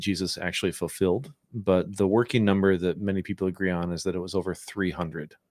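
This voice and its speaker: An ordinary speaking voice from a man, fairly low in pitch, with fairly even intonation and a fairly quick pace, on a very clean recording with a silent background. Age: 40s. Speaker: church staff podcast host. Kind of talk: casual chat.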